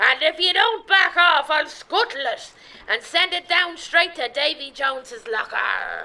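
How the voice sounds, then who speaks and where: The voice sounds female and is a put-on character voice. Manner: bold, theatrical, threatening.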